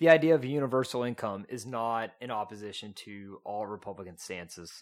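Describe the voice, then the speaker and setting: The recording is very clean, with a silent background. A man with an East Texas accent speaks at a moderate pace. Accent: East Texan, noticeable. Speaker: guest, economics graduate. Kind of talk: casual debate.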